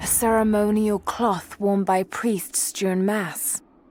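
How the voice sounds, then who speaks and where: A put-on character voice, calm and monotone with flat intonation, at a fairly slow pace over background music. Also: woman, medium pitch for a woman. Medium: video game. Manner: calm, observant.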